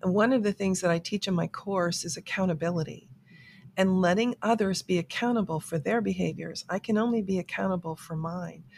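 Medium-pitched and somewhat breathy, a woman talks at a fairly quick pace with ordinary pitch variation in a dry, close sound with no echo. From South Florida. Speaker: author and life coach. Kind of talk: interview.

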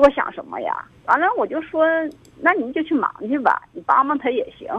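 A woman speaks at a moderate pace. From rural China. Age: 40s. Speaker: caller. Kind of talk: phone-in confession. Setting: phone call. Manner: halting, full of fillers.

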